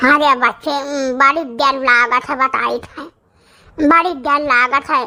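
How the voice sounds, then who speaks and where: A woman's high-pitched cartoonish character voice, fairly slow and flat in a monotone. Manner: affectionate, fretful.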